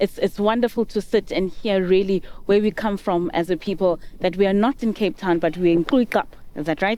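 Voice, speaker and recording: Her pitch medium and its variation ordinary, a woman speaks at a fairly quick pace in a dark, mellow tone. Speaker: TV talk show host. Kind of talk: talk show hosting.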